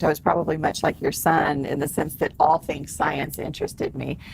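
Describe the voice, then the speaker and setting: The speaker has a Texas accent. The pace is fairly quick. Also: woman. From Texas, San Antonio. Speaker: celebrity hypnotherapist and author. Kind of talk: interview. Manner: casual.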